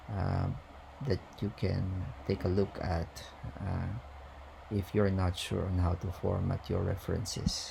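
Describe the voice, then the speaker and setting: A man talks at a fairly slow pace in a very deep, low voice with flat, monotone intonation. Room echo is audible. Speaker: university lecturer. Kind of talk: lecture. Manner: hesitant, many fillers.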